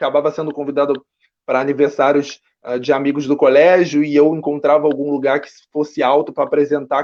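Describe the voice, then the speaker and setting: A man's normal speaking voice, fairly high-pitched, at a fairly quick pace. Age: young. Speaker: actor and writer. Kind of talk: interview.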